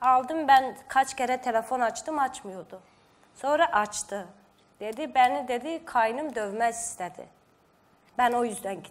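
A woman's high-pitched voice at a fairly slow pace, with ordinary pitch variation and big swings in loudness. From Georgia (Azerbaijani minority). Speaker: sister of missing woman; guest. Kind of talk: interview. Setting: studio. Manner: halting. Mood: earnest, slightly upset. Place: studio.

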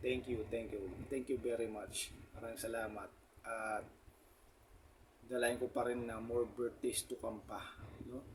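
Somewhat breathy, a man talks at a fairly slow pace with monotone, flat intonation. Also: medium pitch for a man. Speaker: motovlogger. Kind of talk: casual vlog talk.

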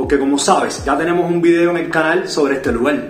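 Over faint music in the background and audible room echo, a man speaks at a fairly quick pace with ordinary pitch variation. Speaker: food vlogger. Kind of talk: casual vlog review. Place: home room.

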